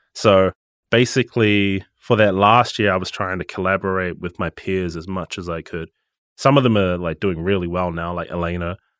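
In a very deep, low voice, a man speaks at a moderate pace with fairly even intonation, recorded dry and close with no echo against a silent background in a very clean recording. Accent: New Zealand. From New Zealand, Gisborne. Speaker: music producer and studio manager. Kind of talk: casual interview.

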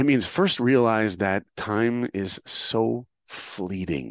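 Animated in tone, a man with an American accent speaks with ordinary pitch variation, his voice caught in a dry, close sound with no echo. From US, New York. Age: 50s. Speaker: filmmaker and motivational speaker. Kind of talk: interview, storytelling.

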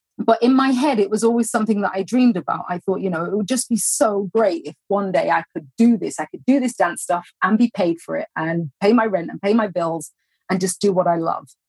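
A woman with a London accent speaks at a fairly quick pace and medium pitch, with hardly any pauses and ordinary pitch variation. Her voice is somewhat breathy, the sound dry and close with no echo. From London, England. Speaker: entrepreneur, former professional dancer. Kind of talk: interview.

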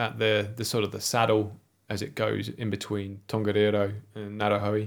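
Captured in a very clean recording with a silent background, a man with an English accent talks at a fairly low pitch and a moderate pace. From England. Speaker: ski and outdoors instructor. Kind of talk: casual interview.

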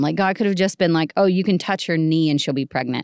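Over a quiet background comes a plain, everyday voice with ordinary pitch variation. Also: woman. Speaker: podcast guest, wife of the other guest. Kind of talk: casual chat.

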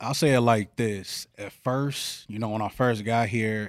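A man with an American accent and an ordinary speaking voice talks at a fairly slow pace and medium pitch, his intonation fairly even, on a very clean recording with a silent background. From Chicago, South Side. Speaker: youth mentor. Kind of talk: interview.

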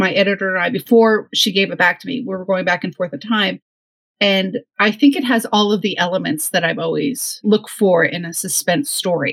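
A woman with a plain, everyday voice speaks fairly quickly at a medium pitch with ordinary pitch variation, in a dry, close sound with no echo. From northwest New Jersey. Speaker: novelist. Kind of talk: casual interview chat.

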